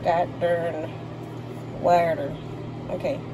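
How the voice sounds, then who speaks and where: Over noticeable background noise, a woman with a Southern US accent speaks in an animated tone at a fairly low pitch. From US South. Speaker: home cook vlogger. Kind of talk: casual cooking tutorial. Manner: casual, chatty, animated. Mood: joking, playful. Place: kitchen. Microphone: phone near.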